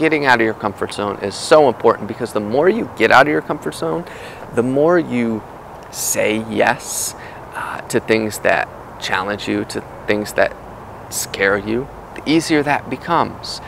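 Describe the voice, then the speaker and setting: Recorded with a dry sound and no echo, this man's voice comes with noticeable background noise. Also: fairly slow pace. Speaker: podcast host. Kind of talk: casual vlog chat. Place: forest. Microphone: earbuds.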